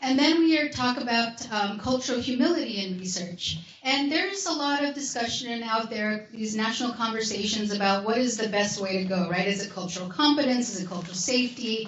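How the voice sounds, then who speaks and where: The speaker goes at a fairly quick pace with lively intonation and hardly any pauses. Noticeable background noise and audible room echo are present. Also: woman, fairly high pitch for a woman. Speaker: academic researcher presenting a research toolkit. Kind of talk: conference workshop presentation.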